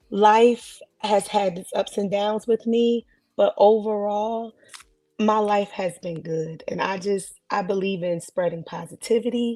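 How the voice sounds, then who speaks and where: At a fairly slow pace, a woman speaks in a dark, mellow tone at medium pitch. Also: fairly even intonation. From New Jersey, Newark. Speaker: podcast guest, gospel singer. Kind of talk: casual chat. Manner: loud.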